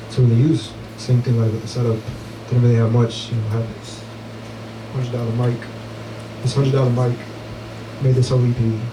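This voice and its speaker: Amid noticeable background noise and audible room echo, a man with a medium pitch talks at a fairly quick pace in a monotone, flat intonation, with long, frequent pauses. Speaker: musician. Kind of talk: Q&A interview at listening party. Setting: listening party with audience. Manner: conversational, hesitant.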